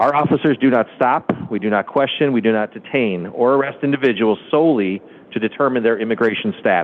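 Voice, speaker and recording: Delivered fairly quickly, the speech rises and falls with ordinary pitch variation. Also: man, medium pitch for a man. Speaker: police chief. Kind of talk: formal address to city council. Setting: council meeting. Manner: fast; formal.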